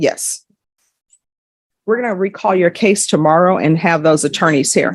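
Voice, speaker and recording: A woman's fairly low voice at a moderate pace, broken by long, frequent pauses, on a very clean recording with a silent background. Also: ordinary pitch variation. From Louisiana. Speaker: judge. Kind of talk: courtroom proceedings with explanatory asides to viewers. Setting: courtroom.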